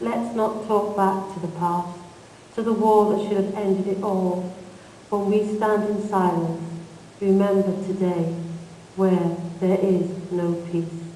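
Over noticeable background noise, speech comes at a very slow pace with long, frequent pauses. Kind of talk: spoken-word poem performed. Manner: impassioned, rhythmic, angry, emphatic.

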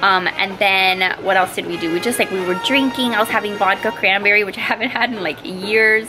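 Against clear music in the background, a woman speaks at a fairly quick pace with hardly any pauses and ordinary pitch variation. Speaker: vlogger mom. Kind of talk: casual vlog chat. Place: home room. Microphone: phone near.

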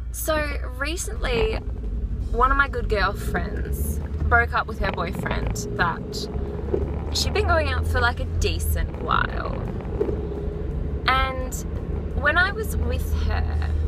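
A woman at a very slow pace with long, frequent pauses, dry sound with no echo, and loud background noise. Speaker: vlogger. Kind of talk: casual vlog chat. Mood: relaxed, opinionated. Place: car. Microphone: phone near.

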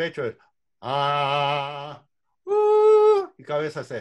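Against a quiet background, a man is speaking. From Uruguay. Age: 60s. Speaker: vocal coach and music director; vocal coach. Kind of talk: online workshop lecture. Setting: video call. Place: home room. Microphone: video call.

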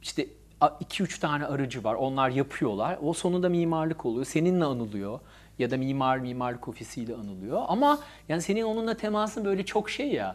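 A man's fairly high voice, fairly quick, with very wide pitch swings. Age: 40s. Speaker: architect; guest. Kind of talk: casual chat. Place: studio. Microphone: lapel.

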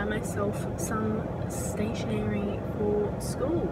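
A woman at a very slow pace, dry sound with no echo, loud background noise behind her. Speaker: vlogger. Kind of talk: casual vlog chat. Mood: cheerful, chatty. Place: car. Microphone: phone near.

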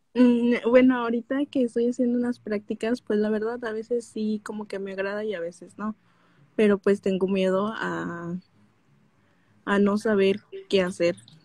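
A woman's fairly high, dark and mellow voice, fairly even in intonation, at a moderate pace, dry with no echo against a quiet background. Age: 20s. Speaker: caller, young graduate; caller. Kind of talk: personal conversation. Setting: live stream call. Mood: unsure, somewhat troubled, shy. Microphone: video call.

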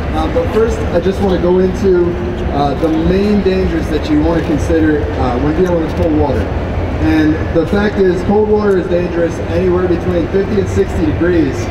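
A man at a moderate pace over loud background noise. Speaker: presenter. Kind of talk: seminar presentation. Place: hall. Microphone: handheld.

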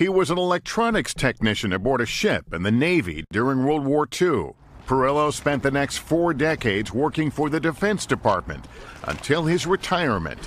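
The man's voice is fairly high and carries vocal fry. His pitch swings very widely at a moderate pace. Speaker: news correspondent. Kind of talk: TV news report narration.

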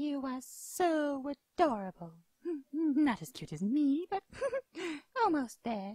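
In a put-on character voice, high in pitch, the speaker goes at a fairly slow pace with long, frequent pauses. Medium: voice reel. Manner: gushing, cutesy.

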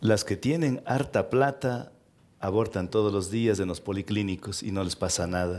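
Fairly low pitch from a man, moderate in pace, with ordinary pitch variation. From Ecuador, Cuenca region (Cañari); Ecuador. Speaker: interview guest. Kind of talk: interview before a live audience. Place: stage. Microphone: headset.

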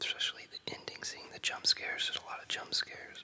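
At a fairly quick pace, someone whispers over noticeable background noise. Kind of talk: ASMR casual talk about favorite movies. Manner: whispered.

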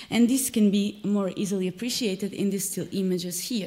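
Very fast and somewhat breathy, a woman's voice has a dark, mellow tone over a quiet background. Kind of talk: lecture. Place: hall.

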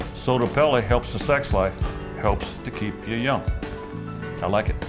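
Clear background music behind a man speaking at a moderate pace. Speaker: rancher. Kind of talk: customer testimonial. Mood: confident, upbeat. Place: office.

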